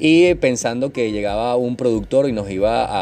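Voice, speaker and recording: A man with a fairly low voice is heard, and there's noticeable background noise throughout. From Venezuela, Maturín (Monagas). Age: 30s. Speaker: podcast host, network marketer. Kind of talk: casual monologue. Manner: trying to speak calmly, getting livelier.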